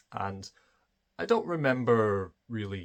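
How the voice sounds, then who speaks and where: A Scottish accent on a very clean recording with a silent background. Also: man. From Scotland. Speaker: spiritual video creator. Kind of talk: personal monologue. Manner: hesitant, many fillers.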